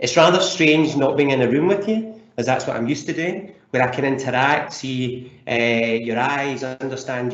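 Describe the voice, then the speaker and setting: Over noticeable background noise, a man with a Scottish accent talks at a moderate pace, using a medium pitch and ordinary pitch variation. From Scotland. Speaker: leadership coach. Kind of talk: webinar presentation. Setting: online webinar.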